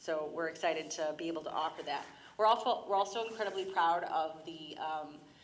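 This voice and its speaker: Audible room echo surrounds a woman's voice. She talks at a fairly quick pace with ordinary pitch variation. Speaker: school district representative. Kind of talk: public presentation at council meeting. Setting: city council meeting chamber. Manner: fast.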